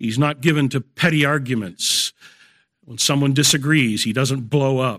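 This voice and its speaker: A normal speaking voice with big swings in loudness, fairly even intonation, a moderate pace, and a dry, close sound with no echo. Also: man, medium pitch for a man. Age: 60s. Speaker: pastor. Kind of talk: sermon. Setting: church.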